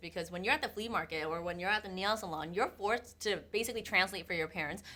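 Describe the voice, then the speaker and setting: A woman in a Vietnamese accent, medium in pitch, with a bright, sharp tone and ordinary pitch variation. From US, Vietnamese immigrant family. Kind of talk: casual podcast conversation.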